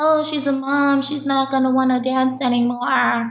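Speaking at a moderate pace, a woman has a New York accent. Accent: New York City. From Harlem, New York City. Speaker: professional dancer. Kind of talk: interview.

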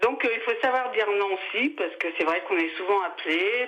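A woman talks at a fairly quick pace with ordinary pitch variation against noticeable background noise. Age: 60s. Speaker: radio caller. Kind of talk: testimony.

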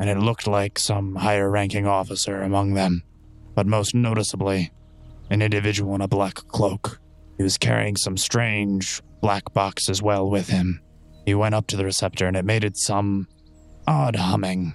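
A man uses a put-on character voice with fairly low pitch. Faint music plays in the background. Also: moderate pace. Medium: actual play. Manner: articulate, formal.

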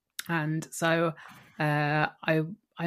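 A woman's very deep, low voice with a southern English accent on a very clean recording against a silent background. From Kent, south-east England. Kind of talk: interview conversation.

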